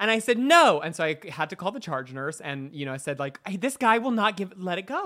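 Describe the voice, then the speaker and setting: Bright and sharp in tone, a man's raised, projected voice sits at a high pitch. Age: 30s. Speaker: makeup artist. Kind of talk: casual chat.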